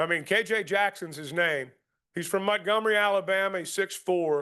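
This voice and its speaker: Against a quiet background, a man with an American accent uses a raised, projected voice, high in pitch and bright, sharp in tone, at a moderate pace. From Arkansas. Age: 60s. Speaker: sports broadcaster. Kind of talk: Q&A talk at club meeting. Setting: club meeting with audience. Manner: hesitant, many fillers.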